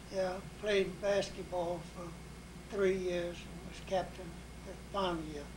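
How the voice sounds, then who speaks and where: A man with an Alabama accent talks at a very slow pace, his loudness swinging widely. Audible room echo and noticeable background noise come through. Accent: Southern US (Alabama). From US South, Mobile, Alabama. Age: 90s. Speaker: retired engineer. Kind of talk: oral history interview.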